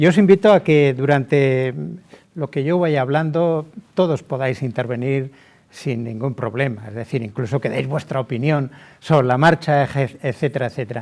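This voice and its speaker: A man with an unremarkable speaking voice keeps a moderate speed, a fairly high pitch and ordinary pitch variation. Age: 60s. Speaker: lawyer. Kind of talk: webinar talk.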